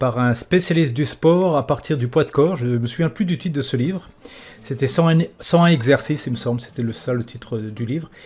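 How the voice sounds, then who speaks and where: A man's somewhat breathy, fairly high-pitched voice at a fairly quick pace, with ordinary pitch variation. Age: 50s. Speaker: podcast host. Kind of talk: interview. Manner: casual, joking.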